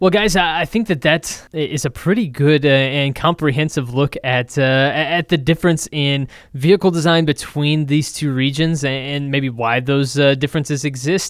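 Pitched fairly high, this man's unremarkable speaking voice shows ordinary pitch variation and runs on with hardly any pauses. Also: moderate pace. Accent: American. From Texas. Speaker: podcast host. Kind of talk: casual chat.

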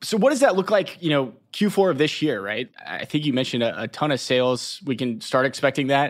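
Talking at a fairly quick pace with hardly any pauses, a man with an American accent uses a normal speaking voice, a fairly high pitch and lively intonation. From Chattanooga, Tennessee, US South. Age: 20s. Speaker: podcast host, sales director. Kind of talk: interview.

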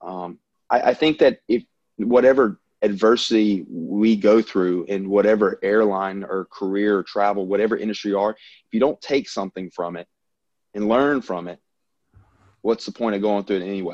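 In a Southern US accent, a man with a fairly low voice talks at a moderate pace, with ordinary pitch variation and big swings in loudness. The sound is dry and close with no echo, over a quiet background. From US South, Louisiana. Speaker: airline pilot.

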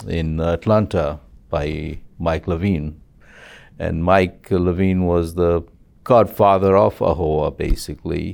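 A man's very deep, low voice, very slow in pace, with fairly even intonation. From Zambia, Africa. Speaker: hotel industry executive. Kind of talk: interview. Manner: halting.

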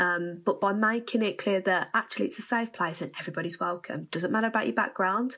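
A woman with a Birmingham accent, very fast and with hardly any pauses, medium in pitch, her intonation lively, over a silent background in a very clean recording. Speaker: farming skills development worker. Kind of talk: interview.

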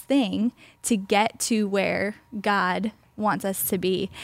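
A woman has a normal speaking voice at a medium pitch, with fairly even intonation. The sound is dry and close, with no echo. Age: 20s. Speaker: pastor. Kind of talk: casual chat.

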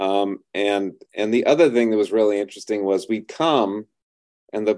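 Against a quiet background, a man with an American accent talks at a moderate pace, his fairly low pitch paired with a dark, mellow tone. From US Midwest, Illinois. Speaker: university advancement executive. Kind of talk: casual interview.

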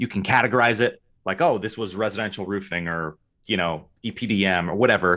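On a very clean recording with a silent background, a man speaks in a fairly low voice with a bright, sharp tone and ordinary pitch variation. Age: 30s. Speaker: tech company founder and CEO. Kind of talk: casual interview.

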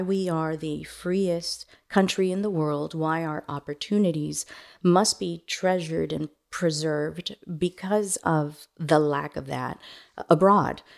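With an American accent and an ordinary speaking voice, a woman talks fairly slowly at a fairly low pitch with fairly even intonation, in a very clean recording with a silent background. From Miami, Florida. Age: 40s. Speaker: community political organizer. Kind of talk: interview.

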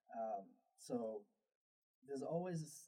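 Slow-paced and in a French accent, a man speaks at a fairly high pitch with very wide pitch swings and a dark, mellow tone. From France. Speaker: language expert guest. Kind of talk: casual discussion. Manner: halting, many repetitions.

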